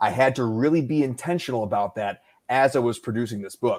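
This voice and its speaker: A man's medium-pitched voice with an American accent and ordinary pitch variation. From US Midwest, Detroit area, Michigan. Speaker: audiobook narrator and marketing business owner. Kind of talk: casual chat. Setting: live online show. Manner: fast, staccato bursts.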